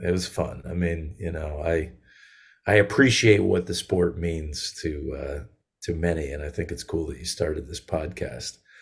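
Vocal fry runs through a man's speech with an American accent and ordinary pitch variation. He keeps a moderate pace on a very clean recording with a silent background. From Connecticut and western Massachusetts, US. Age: 40s. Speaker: singer-songwriter. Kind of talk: casual interview.

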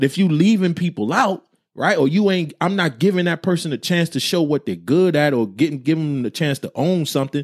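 In a normal speaking voice with an American accent, a man talks at a fairly quick pace with hardly any pauses, fairly high pitch and ordinary pitch variation, on a very clean recording with a silent background and a dry, close sound with no echo. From New Jersey. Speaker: podcast co-host. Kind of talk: casual chat. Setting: livestream with chat comments.

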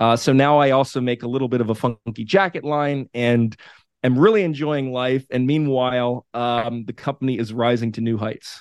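A man in an ordinary speaking voice at medium pitch, with fairly even intonation and a moderate pace. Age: 40s. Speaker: media company founder. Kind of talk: interview.

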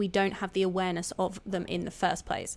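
A woman speaks at a moderate pace with medium pitch in a plain, everyday voice. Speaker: spiritual coach and podcast host. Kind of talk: solo podcast monologue on spirituality. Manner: warm, conversational, encouraging; informal, with fillers and self-corrections.

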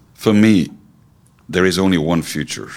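A man's voice with vocal fry, ordinary pitch variation and a moderate pace. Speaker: company CEO. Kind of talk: interview.

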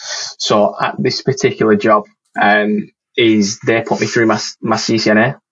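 Speaking with a Lancashire accent, a man of medium pitch talks at a very slow pace. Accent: northern English, Lancashire. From northern England. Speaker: network engineer. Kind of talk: casual chat, interview. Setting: video call.

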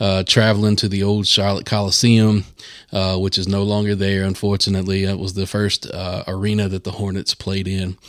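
A man at a fairly low pitch and moderate pace, in a Southern US accent. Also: very clean recording, silent background. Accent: Southern American. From US South, North Carolina. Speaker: podcast host. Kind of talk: casual chat.

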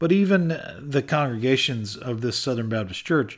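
A man with an American accent speaks in an unremarkable speaking voice, his intonation lively. The recording is very clean, with a silent background. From US (Colorado and Michigan). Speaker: podcast host. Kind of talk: monologue reflection.

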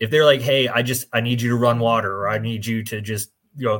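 In a normal speaking voice with an American accent, a man talks at a fairly quick pace, his medium pitch kept in fairly even intonation, on a very clean recording with a silent background. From New Jersey, US. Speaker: podcast co-host and fire instructor. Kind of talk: casual chat.

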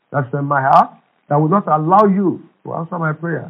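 A man speaks with a Nigerian accent at a fairly high pitch. His intonation is fairly even and his pace fairly quick. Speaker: pastor. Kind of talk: fervent prayer, charged preaching-style exhortation. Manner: impassioned, urgent, emphatic; repetitive, rhythmic, declaratory.

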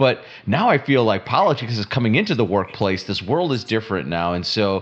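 A man talks at a moderate pace with a fairly low pitch and lively intonation. He has a plain, everyday voice. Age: middle-aged. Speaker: podcast co-host, entrepreneur. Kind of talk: casual chat.

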